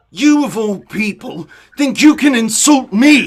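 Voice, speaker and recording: Using a put-on character voice, a man speaks at an extremely high pitch and a fairly slow pace. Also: lively intonation. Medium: stage play. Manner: aggressive.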